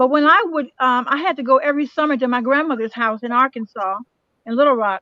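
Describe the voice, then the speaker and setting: Raised and projected, a woman's high voice has a bright, sharp tone and ordinary pitch variation as she speaks very fast in a dry, close sound with no echo. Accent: American. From Chicago, US Midwest. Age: 70s. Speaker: panelist sharing life stories. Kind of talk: panel discussion.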